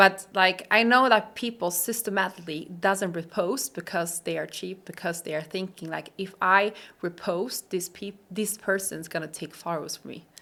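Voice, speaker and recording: On a very clean recording with a silent background, a woman with a non-native accent speaks at a moderate pace, her medium-pitched voice bright and sharp in tone with ordinary pitch variation. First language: Swedish. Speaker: coach. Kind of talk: casual chat.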